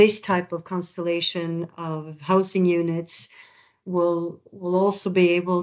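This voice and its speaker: At a very slow pace, a woman speaks with a Norwegian accent in a fairly low, monotone voice. The background is quiet. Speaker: architect/project presenter. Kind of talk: webinar presentation.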